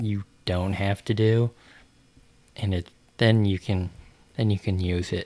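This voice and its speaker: The recording is very clean, with a silent background. A man speaks at a fairly slow pace in a fairly low pitch, his intonation monotone and flat. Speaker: podcast host. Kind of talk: casual chat.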